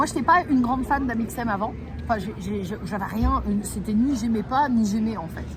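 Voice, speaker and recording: Speaking at a fairly quick pace in an animated tone, a woman is heard with audible room echo and noticeable background noise. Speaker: travel vlogger and live streamer. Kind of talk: casual chat on a live stream. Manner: fast.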